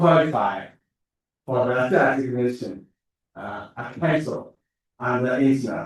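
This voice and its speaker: A man talks with a Chinese accent. His pitch sits in the medium range. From China. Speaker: academic researcher. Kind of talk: conference talk. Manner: halting, many fillers.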